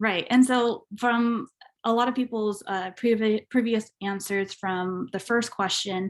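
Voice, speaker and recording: Speaking at a moderate pace with a Spanish accent, a woman uses a fairly high pitch and fairly even intonation on a very clean recording with a silent background. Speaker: alumni panelist. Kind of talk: panel discussion. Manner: halting.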